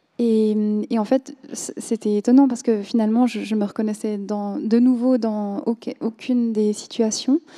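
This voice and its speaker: A dark, mellow tone carries a Korean accent with fairly even intonation. The sound is dry and close, with no echo. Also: woman, fairly high pitch for a woman. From Switzerland. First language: Korean (speaking French). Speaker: novelist. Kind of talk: literary panel discussion. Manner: halting, many hesitations.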